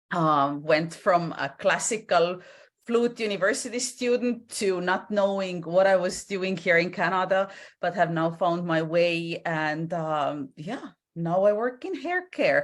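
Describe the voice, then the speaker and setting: A woman's medium-pitched voice with an Estonian accent, ordinary pitch variation, a fairly slow pace and a quiet background. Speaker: entrepreneur in hair care. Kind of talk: interview. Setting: video call.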